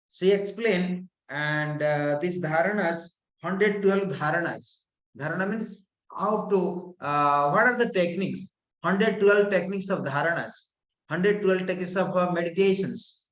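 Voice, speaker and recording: In a room with audible echo, a man with a high pitch speaks at a moderate pace and with ordinary pitch variation. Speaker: yoga and tantra teacher. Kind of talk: lecture. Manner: calm.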